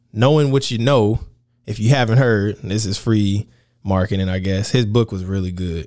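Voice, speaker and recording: This man has a fairly low-pitched voice. His pitch varies in an ordinary way. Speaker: podcast host. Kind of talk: casual chat, podcast conversation. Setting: remote location, not his usual studio.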